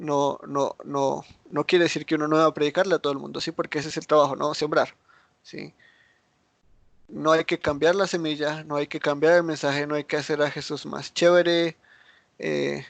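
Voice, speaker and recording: With a fairly high pitch and monotone, flat intonation, a man speaks at a moderate pace with long, frequent pauses, in a dry, close sound with no echo over a quiet background. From United States. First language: English (speaking Spanish). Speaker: Bible teacher. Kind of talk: Bible study teaching. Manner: halting, frequent repetitions and fillers.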